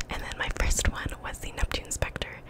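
A woman whispers in a relaxed tone at a moderate pace. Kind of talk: ASMR gaming video, casual talk to camera. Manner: whispered, relaxed, close-mic. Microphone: studio mic.

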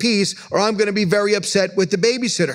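Fairly even intonation from a man, with a quiet background. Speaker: pastor. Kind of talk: sermon. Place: church. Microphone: podium.

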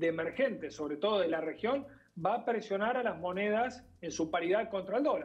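A man talks in a high-pitched voice with lively intonation. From Argentina. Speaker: market analyst. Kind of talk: TV interview. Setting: remote connection. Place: home room. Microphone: video call.

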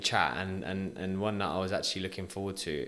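Talking at a very fast pace, a man with a British accent has a bright, sharp tone. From UK. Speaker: podcast host. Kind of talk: casual interview chat. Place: studio. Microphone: studio mic.

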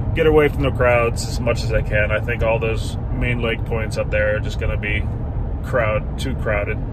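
A man talks at a fairly quick pace, with noticeable background noise and a dry sound that has no echo. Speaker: kayak angler vlogger. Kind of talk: casual vlog chat. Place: car. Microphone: phone near.

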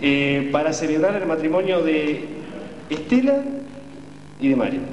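Background noise is noticeable here. A man talks at a fairly slow pace. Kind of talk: ceremony officiating speech. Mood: warm, moved. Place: hall. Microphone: camera far.

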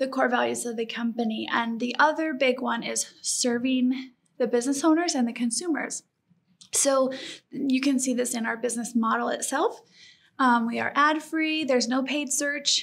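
Her pitch is high and her intonation fairly even. A woman with an American accent talks at a moderate pace. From Colorado. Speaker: small business owner. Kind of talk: interview.

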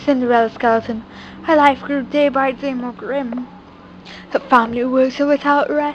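Over noticeable background noise, a woman speaks at a moderate pace. Her pitch is high and her intonation fairly even. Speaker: YouTuber reading a children's book. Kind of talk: reading aloud.

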